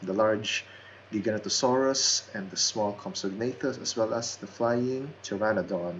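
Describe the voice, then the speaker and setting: At a moderate pace, a man with a non-native accent talks at a medium pitch. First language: not English. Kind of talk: casual game tour narration. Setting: basic home microphone.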